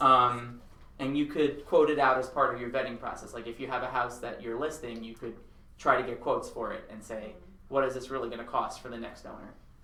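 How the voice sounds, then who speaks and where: At a fairly quick pace, a man with an American accent speaks at a medium pitch in a monotone, flat intonation, with audible room echo. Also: big swings in loudness. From Long Island, New York. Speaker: architect. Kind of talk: seminar presentation. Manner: fast.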